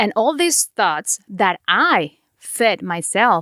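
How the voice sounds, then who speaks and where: A woman with a Mexican accent and a medium pitch is heard in a very clean recording with a silent background and a dry, close sound with no echo. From Mexico. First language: Spanish. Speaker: podcast host. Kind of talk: podcast monologue.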